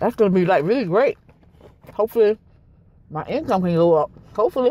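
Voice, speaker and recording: Light background noise accompanies a woman whose voice shows ordinary pitch variation in a dry sound with no echo. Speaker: food vlogger. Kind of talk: casual vlog chat. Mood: relaxed, candid. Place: car. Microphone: phone near.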